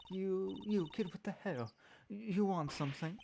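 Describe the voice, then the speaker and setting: A put-on character voice, husky, at a moderate pace and middle pitch. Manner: brusque, gruff.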